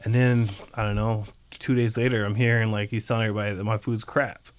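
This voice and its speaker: In an ordinary speaking voice, a man with an American accent talks at a fairly quick pace, medium in pitch, with fairly even intonation. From US South (North Carolina), childhood in Japan. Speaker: chef and restaurant owner. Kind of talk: casual interview.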